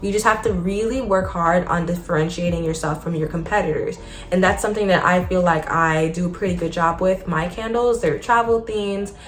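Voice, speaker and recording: Over music in the background and audible room echo, a woman of medium pitch talks at a fairly quick pace with hardly any pauses and ordinary pitch variation. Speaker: small business owner and vlogger. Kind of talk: casual advice vlog. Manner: fast.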